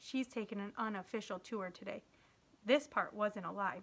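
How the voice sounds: The natural reading voice carries ordinary pitch variation.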